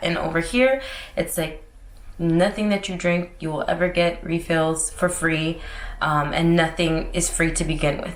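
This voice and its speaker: Woman with an American accent at a fairly low pitch and moderate pace, with audible room echo and noticeable background noise. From Florida, US (St. Pete / Tampa). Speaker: lifestyle vlogger. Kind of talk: casual vlog talk. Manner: loud; bubbly.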